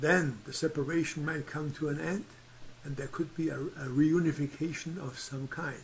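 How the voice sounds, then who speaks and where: A man with a non-native accent speaks at a fairly high pitch in a somewhat breathy voice. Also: fairly even intonation, moderate pace. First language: not English. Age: 70s. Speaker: astrology teacher. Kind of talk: tutorial.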